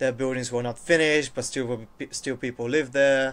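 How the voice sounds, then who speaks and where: A man's medium-pitched voice at a moderate pace. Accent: Bulgarian. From Bulgaria. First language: Bulgarian. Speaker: university international officer. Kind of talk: casual chat. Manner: halting.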